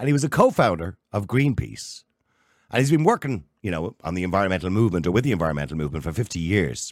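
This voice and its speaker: Over a silent background in a very clean recording, the speaker talks at a very fast pace with vocal fry. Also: man. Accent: Irish. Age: 50s. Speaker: podcast host. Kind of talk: interview.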